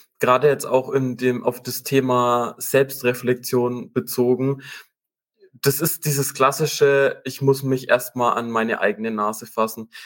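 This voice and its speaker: At a fairly slow pace, a man with a plain, everyday voice speaks at medium pitch with fairly even intonation. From Upper Franconia, Germany (Münchberg). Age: 20s. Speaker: business program manager. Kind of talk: interview.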